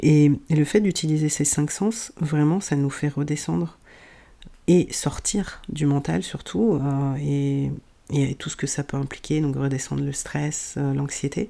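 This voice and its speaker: At a very slow pace, a woman speaks with a very deep, low pitch, ordinary pitch variation and a dark, mellow tone. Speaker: sophrologist and breathwork practitioner, podcast host. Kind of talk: solo wellness podcast talk. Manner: hesitant with fillers.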